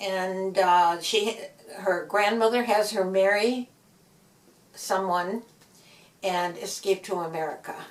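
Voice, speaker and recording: In a Midwestern US accent, a woman at medium pitch speaks at a very slow pace with fairly even intonation and long, frequent pauses, over noticeable background noise. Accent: US Midwest. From US Midwest, Gary, Indiana. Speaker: author. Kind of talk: interview. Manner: halting.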